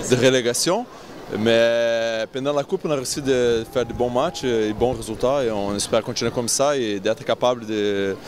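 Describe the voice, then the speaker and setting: A man at medium pitch, ordinary pitch variation, moderate pace, noticeable background noise. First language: not French (speaking French). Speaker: volleyball team captain. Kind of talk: post-match interview. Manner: halting.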